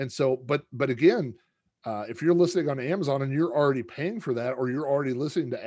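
At a very fast pace, a man talks in a dark, mellow tone at a medium pitch with ordinary variation, against a quiet background. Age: 40s. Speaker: podcaster and author. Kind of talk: casual chat.

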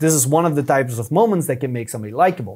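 Speaking at a fairly quick pace with very wide pitch swings, a man with a European accent is heard in a very clean recording with a silent background. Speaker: YouTube strategist. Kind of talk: podcast interview.

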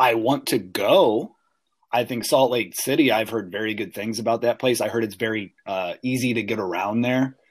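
At a moderate pace and medium pitch, a man with an ordinary speaking voice talks with ordinary pitch variation. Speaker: podcast co-host. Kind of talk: casual chat.

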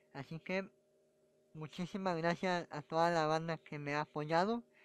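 The man's voice has a high pitch and ordinary pitch variation. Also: dry, close sound with no echo, very clean recording, silent background. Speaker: comedian. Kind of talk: casual monologue.

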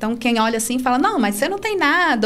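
A woman's fairly high voice with audible room echo. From Brazil, Brasília. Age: 30s. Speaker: para-canoe athlete and teacher. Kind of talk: casual interview.

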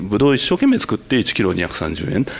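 There is noticeable background noise. Through it, a man speaks at a moderate pace. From Tokyo. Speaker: winemaker. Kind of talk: panel discussion.

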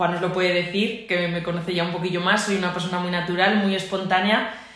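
Audible room echo mixes with noticeable background noise in this recording. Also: woman. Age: 30s. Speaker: physiotherapist and trail runner. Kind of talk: casual interview. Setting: physiotherapy clinic.

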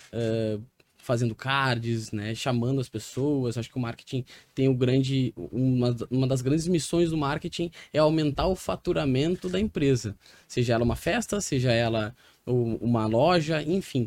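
The recording is very clean, with a silent background, and a man speaks at a moderate pace and a medium pitch. His is a plain, everyday voice with ordinary pitch variation. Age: 30s. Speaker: real estate entrepreneur. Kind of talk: interview.

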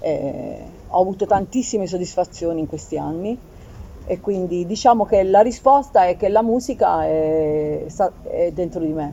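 At a fairly slow pace, a woman with a fairly low pitch and a dark, mellow tone speaks with lively intonation. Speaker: keyboardist. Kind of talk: casual chat. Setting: live event venue.

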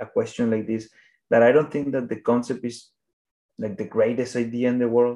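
This man's voice sits at a medium pitch with a dark, mellow tone. He speaks with a Spanish accent. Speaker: animation filmmaker. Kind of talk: interview. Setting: phone or video call. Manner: halting.

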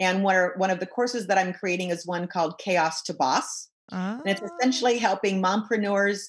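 A woman talks at a fairly quick pace with a medium pitch and ordinary variation. Her voice is somewhat breathy. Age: 60s. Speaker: business coach. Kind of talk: interview.

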